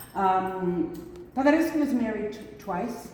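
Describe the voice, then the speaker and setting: A woman talks at a fairly slow pace with very wide pitch swings, with audible room echo and noticeable background noise. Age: 60s. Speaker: museum tour guide. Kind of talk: guided museum tour. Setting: indoors in a museum. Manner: animated; halting.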